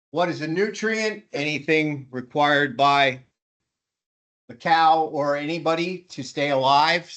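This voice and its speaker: The speaker talks at a very slow pace in an American accent. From West Jersey / Eastern Pennsylvania. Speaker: teacher. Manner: frequent filler words.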